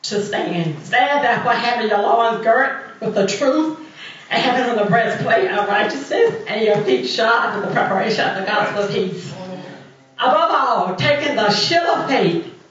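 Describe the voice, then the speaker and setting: Light background noise and audible room echo accompany speech delivered at a moderate pace. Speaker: minister reading scripture. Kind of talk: scripture reading. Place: church. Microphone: camera far.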